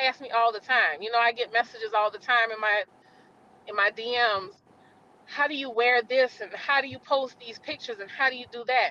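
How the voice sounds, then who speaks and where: At a fairly quick pace, a woman speaks in a high pitch. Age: 40s. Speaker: author. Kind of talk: casual chat. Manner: animated.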